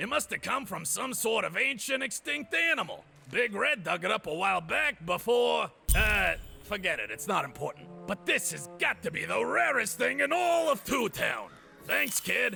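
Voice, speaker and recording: Using a put-on character voice, a man speaks high-pitched at a moderate pace while music plays clearly in the background. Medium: video game. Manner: rambling, distracted.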